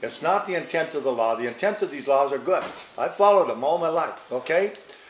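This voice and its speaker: A man speaks at a fairly quick pace with ordinary pitch variation. Room echo is audible, and background noise is noticeable. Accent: American. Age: 70s. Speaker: town hall attendee, cattle farmer. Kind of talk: public comment at town hall. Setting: town hall meeting in library. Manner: animated.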